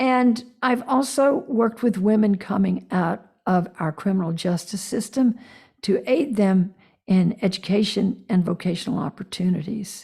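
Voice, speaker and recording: On a very clean recording with a silent background, a woman with a dark, mellow, somewhat breathy voice speaks at medium pitch and a fairly slow pace, with ordinary pitch variation and very even loudness. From US South. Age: 70s. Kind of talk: interview.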